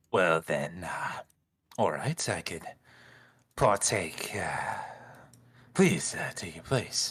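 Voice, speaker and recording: A man's put-on character voice, fairly low in pitch, very slow in pace, with long, frequent pauses. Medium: actual play.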